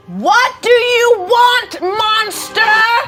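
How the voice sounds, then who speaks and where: In a put-on character voice, the speaker pitches extremely high. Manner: commanding.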